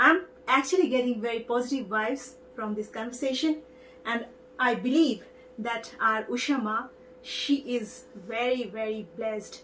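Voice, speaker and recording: Someone with an Indian accent speaks at a moderate pace with ordinary pitch variation, over noticeable background noise. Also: woman. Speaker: TV show host. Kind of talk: interview.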